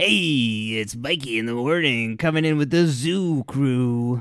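A man speaks in a put-on character voice. His pitch is medium and his pace fairly slow. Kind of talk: radio DJ patter. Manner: bright, chipper, upbeat.

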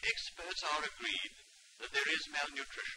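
At a moderate pace, a man talks while light background noise runs underneath. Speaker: committee chairman, peer. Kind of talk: official public statement. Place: home room. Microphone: old recording.

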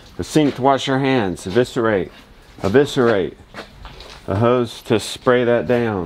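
With ordinary pitch variation and a moderate pace, the man speaks over light background noise. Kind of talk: casual vlog chat. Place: farm machine. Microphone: phone near.

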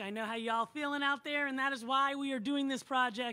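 A high-pitched woman's voice with a bright, sharp tone. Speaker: show host. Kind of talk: host introduction. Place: stage. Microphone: handheld.

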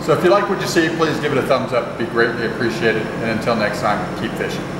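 A man talking at a very fast pace, with audible room echo and loud background noise. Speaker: fishing vlogger. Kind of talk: casual vlog chat. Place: home room. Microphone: phone near.

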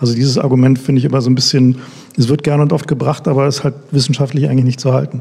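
A man's medium-pitched, monotone, flat delivery at a very fast pace, with very even loudness. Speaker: e-voting critic, tech expert. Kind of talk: panel discussion. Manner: casual, blunt.

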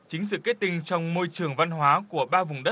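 This man's high pitch moves with ordinary variation, and the sound is dry and close with no echo. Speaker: voiceover narrator. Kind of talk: scripted narration.

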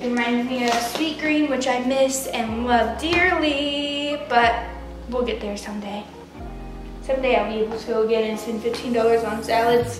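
Clear music plays behind a woman with a high-pitched voice, and the room echo is audible. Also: ordinary pitch variation, moderate pace. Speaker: lifestyle vlogger. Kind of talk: casual vlog chat. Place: kitchen. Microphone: camera far.

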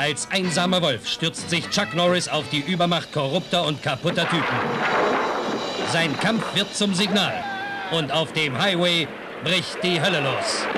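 With music in the background, a man with a high voice speaks at a fairly slow pace and very even loudness, using ordinary pitch variation and long, frequent pauses. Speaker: trailer narrator. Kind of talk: movie trailer.

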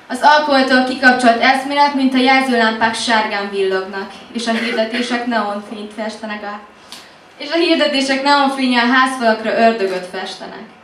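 With big swings in loudness, a woman speaks at a moderate pace, fairly high in pitch with ordinary pitch variation, amid audible room echo and light background noise. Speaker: slam poet. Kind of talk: slam poetry performance, intimate confessional love poem. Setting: stage with audience. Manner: hushed, intimate, teasing, building rhythmically with repeated 'what if' lines. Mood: intimate, expressive. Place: cafe.

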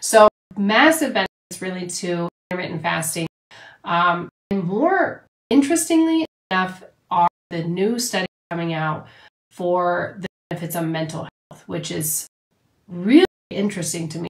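A woman speaks at a moderate pace in a fairly low, somewhat breathy voice with ordinary pitch variation, big swings in loudness, and long, frequent pauses over a quiet background. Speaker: health and nutrition coach; nutrition coach. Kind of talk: livestream talk. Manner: animated. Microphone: phone near.

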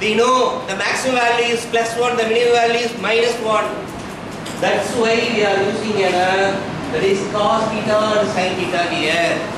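A man talks at a moderate pace. The room echo is audible, and background noise is noticeable. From India, Tamil Nadu. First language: Tamil. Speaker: guest lecturer in mathematics. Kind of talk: lecture. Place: classroom. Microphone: camera far.

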